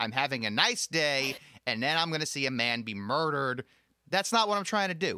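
Lively intonation and a bright, sharp tone mark this man's speech. He talks at a fairly quick pace with a fairly high pitch. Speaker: podcast host. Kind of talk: casual interview chat. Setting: video call, recorded during lockdown.

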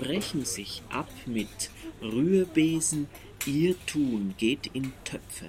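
The man's voice sits fairly high in pitch and moves very slowly. Noticeable background noise runs underneath. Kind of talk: poet reading a poem aloud over a soundscape. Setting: binaural recording with soundscape. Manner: slow, deliberate, measured pace with long pauses between lines.

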